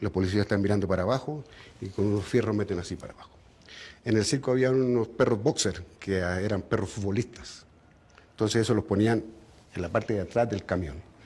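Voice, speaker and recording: A man with a Chilean accent, his dark, mellow, somewhat breathy voice fairly low in pitch, at a fairly quick pace on a very clean recording with a silent background. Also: long, frequent pauses. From Chile (raised there from age 13; born in Bogotá). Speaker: retired circus clown. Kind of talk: interview testimony.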